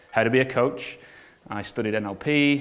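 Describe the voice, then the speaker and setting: The voice has an English accent, and there is audible echo from the room. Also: man. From northern England (Bolton). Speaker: business coach and entrepreneur. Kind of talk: conference talk.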